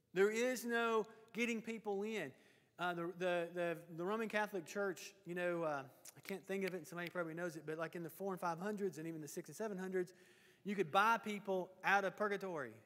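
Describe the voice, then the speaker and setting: A man's high voice with a Tennessee accent, fairly quick, with ordinary pitch variation and a quiet background. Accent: Southern US (Tennessee). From US South, Lawrenceburg, Tennessee. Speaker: Bible class teacher. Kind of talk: Bible class lecture. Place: church.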